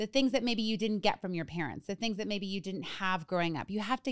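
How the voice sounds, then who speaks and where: On a very clean recording with a silent background and a dry, close sound with no echo, a woman with a normal speaking voice speaks at fairly high pitch with lively intonation. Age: 30s. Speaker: podcast co-host, recovery coach. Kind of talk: casual chat.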